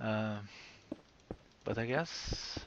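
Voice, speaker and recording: A man speaks with a non-native accent. His pitch is medium. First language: not English. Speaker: gaming video creator. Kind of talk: casual gameplay commentary. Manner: halting, many fillers.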